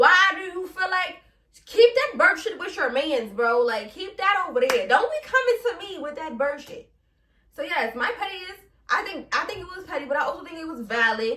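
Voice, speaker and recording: A woman in a New York accent speaks in a raised, projected voice at an extremely high pitch, her tone bright, sharp and animated. Her moderate pace carries very wide pitch swings and big swings in loudness. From Brooklyn, New York. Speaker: podcast host. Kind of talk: casual podcast monologue.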